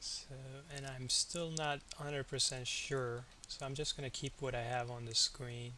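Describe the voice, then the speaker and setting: Quiet and bright, sharp in tone, a man of medium pitch speaks at a moderate pace in a monotone, flat intonation. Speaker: day trader. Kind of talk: live trading commentary. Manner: halting.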